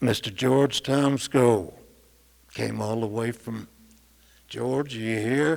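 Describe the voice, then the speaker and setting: Speaking at a very slow pace in a West Texas accent, a man is heard over noticeable background noise. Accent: West Texas drawl. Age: 70s. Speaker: musician. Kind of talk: acceptance speech. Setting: stage with audience.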